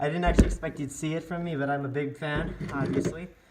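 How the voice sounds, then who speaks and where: A man with a fairly high voice. Noticeable noise sits in the background. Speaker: hobbyist video maker. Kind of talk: tutorial. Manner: halting.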